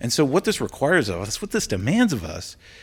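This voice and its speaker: Animated and enthusiastic, a man with an American accent talks at a moderate pace, his pitch swinging very widely. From Washington DC area, US. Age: 40s. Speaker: sustainability coordinator at a university. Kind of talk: casual interview conversation. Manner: animated, enthusiastic.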